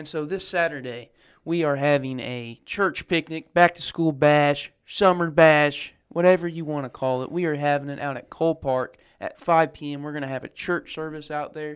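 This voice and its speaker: The recording is very clean with a silent background, carrying a man's unremarkable speaking voice at a fairly high pitch. He keeps a moderate pace and fairly even intonation while his loudness swings widely. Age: young. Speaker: church podcast co-host. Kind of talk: casual chat. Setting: unused Sunday school room at church.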